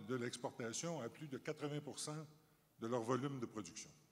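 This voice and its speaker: A man with a Canadian French accent, fairly high pitch, ordinary pitch variation and moderate pace, on a very clean recording with a silent background. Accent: Canadian French accent, noted back in Canada. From Canada. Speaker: company chief executive. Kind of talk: panel discussion. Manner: formal.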